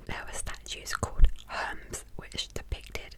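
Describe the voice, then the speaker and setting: The voice is a whisper. It moves at a moderate speed against noticeable background noise. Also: woman. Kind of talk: ASMR history facts narration. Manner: whispered, soft, relaxing.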